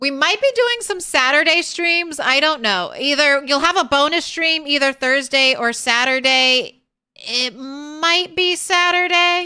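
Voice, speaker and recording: A woman projects a raised, high voice with a bright, sharp tone and lively intonation. She talks fairly slowly at very even loudness with hardly any pauses. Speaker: video game streamer. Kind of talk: casual live stream outro. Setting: home, live stream with cats nearby. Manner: theatrical, like a circus ringleader; animated.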